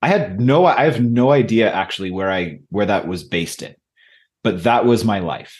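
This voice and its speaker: A man with an American accent has a plain, everyday voice at medium pitch. He talks at a moderate pace with lively intonation against a quiet background. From Michigan, US. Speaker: leadership coach and author. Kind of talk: interview conversation.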